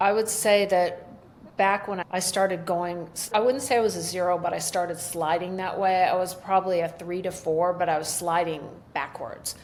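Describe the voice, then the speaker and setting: A woman speaks with an American accent. Her pitch is medium and her pace is moderate. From US Midwest (Michigan and Ohio). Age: 60s. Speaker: entrepreneur and illness survivor. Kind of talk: interview, personal testimony. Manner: animated.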